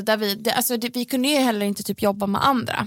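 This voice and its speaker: An unremarkable speaking voice, a woman's, fairly high-pitched with fairly even intonation, on a very clean recording with a silent background. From Sweden, Gothenburg. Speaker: pop singer. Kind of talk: casual chat. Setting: studio.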